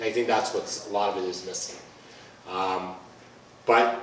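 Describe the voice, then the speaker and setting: A man speaks at a fairly low pitch amid noticeable background noise and audible room echo. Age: 50s. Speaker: police officer. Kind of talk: community talk. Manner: conversational.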